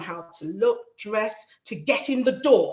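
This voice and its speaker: An animated voice with very wide pitch swings, in a South London accent. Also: woman. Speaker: panel speaker, magistrate and community advocate. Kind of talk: panel talk.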